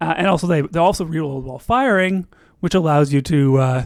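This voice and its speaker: In a very clean recording with a silent background, a man speaks in a high voice with ordinary pitch variation. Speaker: gaming streamer. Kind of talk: live gameplay stream commentary. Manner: fast; hesitant with fillers and restarts.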